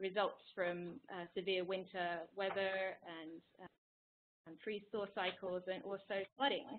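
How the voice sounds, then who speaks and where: A woman speaks at a fairly slow pace in an English accent, with light background noise. Her intonation is monotone and flat. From England. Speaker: climate scientist, postdoc researcher. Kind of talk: webinar presentation. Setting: online webinar. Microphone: video call.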